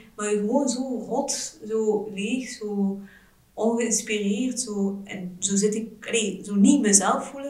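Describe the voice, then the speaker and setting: Over noticeable background noise and audible room echo, a woman talks at a very slow pace with fairly even intonation. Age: 30s. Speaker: general practitioner, mother. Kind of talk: casual interview, personal birth story. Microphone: poor sound quality in recording.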